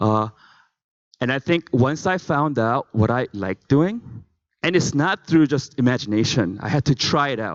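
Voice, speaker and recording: A man with a non-native accent speaks at a moderate pace, his intonation lively. The sound is dry and close with no echo, and the background is quiet. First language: not English. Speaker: conference speaker. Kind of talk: motivational talk.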